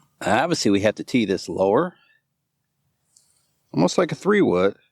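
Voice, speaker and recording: A man's voice with vocal fry, very wide pitch swings and a moderate pace, dry and close with no echo. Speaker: golf youtuber. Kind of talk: casual golf vlog commentary. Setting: outdoors on golf course.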